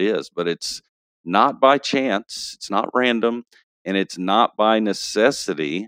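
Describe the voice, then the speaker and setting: This man has a Texas accent and speaks at a fairly slow pace. The sound is dry and close, with no echo. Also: very clean recording, silent background. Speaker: pastor and novelist. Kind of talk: casual interview podcast. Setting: studio.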